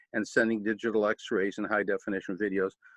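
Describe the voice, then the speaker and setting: Monotone and flat, a man with an American accent speaks at a medium pitch. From US Midwest, Cleveland, Ohio. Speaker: retired army colonel and war veteran. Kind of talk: presentation.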